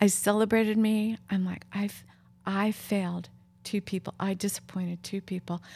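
At a moderate pace, a woman speaks with a somewhat breathy, dark, mellow tone at medium pitch and monotone, flat intonation, on a very clean recording with a silent background. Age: 60s. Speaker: podcast host and counselor. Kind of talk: casual interview chat. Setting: home living room.

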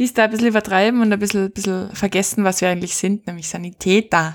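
A woman with an Austrian accent, medium-pitched and very fast. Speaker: podcast host and paramedic. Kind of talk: casual chat. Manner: animated.

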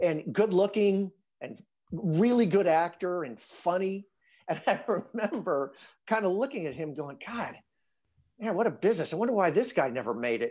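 On a very clean recording with a silent background, a man with a Midwestern American accent and a high pitch speaks with lively intonation, big swings in loudness and long, frequent pauses. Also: moderate pace. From US Midwest, northern Illinois. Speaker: actor. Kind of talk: casual interview.

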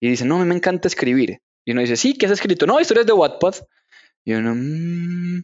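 A man speaks high in pitch at a fairly quick pace. His pitch swings very widely. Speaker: literature teacher and novelist. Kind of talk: casual interview. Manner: halting, frequent word repetition.

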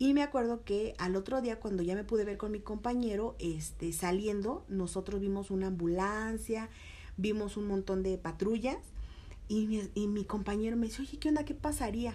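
A woman speaks in a Mexico City accent. Her pitch variation is ordinary. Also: medium pitch for a woman, moderate pace. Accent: Mexico City (chilango). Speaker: TV reporter. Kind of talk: casual interview.

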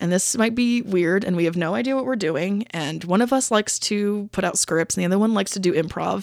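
Her pace is fairly quick, her pitch medium, and her intonation lively. The woman's recording is very clean with a silent background, and the sound is dry and close with no echo. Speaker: podcast host. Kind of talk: casual chat, podcast monologue. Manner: reflective, hesitant, casual with filler words.

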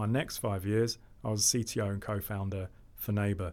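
Speaking with a South London accent, a man keeps his intonation fairly even. His pitch sits fairly low. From Southeast London, England. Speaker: fintech co-founder and investor. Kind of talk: interview.

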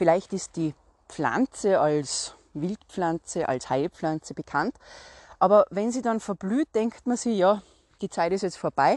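In a Salzburg accent, a woman talks fairly slowly at medium pitch with lively intonation, the sound dry and close with no echo and a quiet background. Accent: Austrian German (Salzburg). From Austria, Salzburg. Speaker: podcast host, herbal walk guide. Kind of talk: solo podcast talk, educational.

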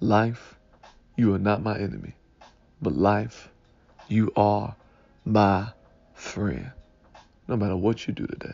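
A man's fairly low voice with vocal fry, a fairly slow pace, ordinary pitch variation and long, frequent pauses. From Detroit, Michigan. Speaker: pastor. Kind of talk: Sunday morning devotional talk.

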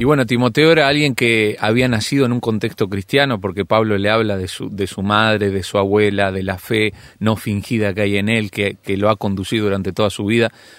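A very clean recording over a silent background, with hardly any pauses at a fairly quick pace. The intonation stays fairly even in a normal speaking voice. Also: man, fairly low pitch for a man. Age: 30s. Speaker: pastor and youth leader. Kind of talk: radio interview.

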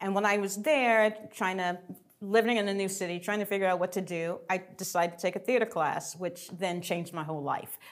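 A woman with an American accent has an unremarkable speaking voice at a medium pitch. She talks at a fairly quick pace with fairly even intonation. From Atlanta, US South. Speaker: theater director. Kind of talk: interview conversation.

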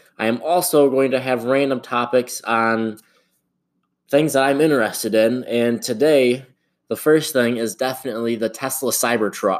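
Speaking in a normal speaking voice with an American accent, a man keeps a moderate pace and ordinary pitch variation on a very clean recording with a silent background. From Michigan, US Midwest. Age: 20s. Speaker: podcast host. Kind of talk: casual solo podcast monologue.

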